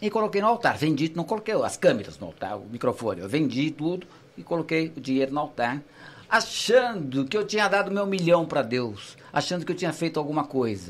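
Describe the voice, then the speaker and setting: Delivered at a fairly quick pace, the voice has vocal fry and very wide pitch swings. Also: man, fairly high pitch for a man. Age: 60s. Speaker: veteran journalist and radio broadcaster. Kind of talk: casual chat.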